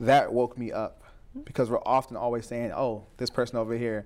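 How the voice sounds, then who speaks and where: A man speaks with an American accent at a medium pitch and a fairly quick pace. His intonation is fairly even, and it is an unremarkable speaking voice. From Southeast New Jersey. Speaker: mental health speaker. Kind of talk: casual interview. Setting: studio.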